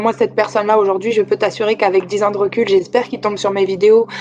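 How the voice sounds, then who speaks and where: Amid noticeable background noise, a woman speaks very fast in a southern French accent. Her pitch is fairly high and her intonation fairly even. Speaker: personal coach. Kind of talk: coaching conversation.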